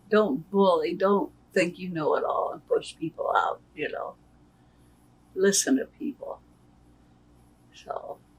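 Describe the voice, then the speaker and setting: A woman speaks very slowly, with long, frequent pauses. Noticeable background noise runs underneath. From Nebraska, US Midwest. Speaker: retired worker. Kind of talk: interview. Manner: plain-spoken, short answers.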